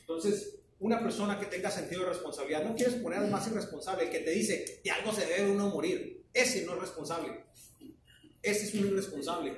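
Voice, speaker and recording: A man's high-pitched voice at a very fast pace, with audible room echo and light background noise. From Mexico. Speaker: flagger safety instructor. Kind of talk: training class. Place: classroom. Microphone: camera far.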